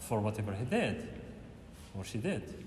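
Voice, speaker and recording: At a fairly quick pace, a man speaks somewhat breathily at a fairly low pitch, with audible room echo. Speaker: university lecturer. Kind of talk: lecture. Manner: fast; halting.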